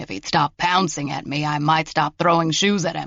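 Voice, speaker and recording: A growling put-on character voice at a middle pitch, delivered at a moderate pace. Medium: read story. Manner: cheeky, unrepentant.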